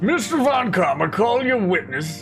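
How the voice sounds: A man does a put-on character voice, high-pitched with vocal fry and big pitch swings. He goes at a fairly slow pace with faint music in the background. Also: fairly bright tone.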